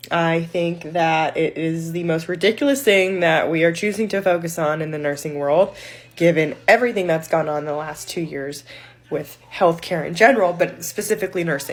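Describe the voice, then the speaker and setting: Over noticeable background noise, a woman speaks at a moderate pace with a fairly low pitch and ordinary pitch variation. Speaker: ICU nurse. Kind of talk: casual vlog commentary.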